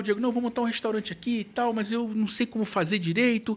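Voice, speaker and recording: Speaking at a very fast pace, a man with a high pitch talks with a strong Rio accent. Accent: Carioca (Rio) accent, kept strongly. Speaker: foodservice consultant. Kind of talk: podcast interview. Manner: casual, animated.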